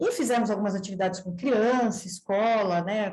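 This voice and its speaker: A woman with a normal speaking voice talks at a moderate pace, her pitch varying in an ordinary way. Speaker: veterinarian researcher. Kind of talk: seminar presentation.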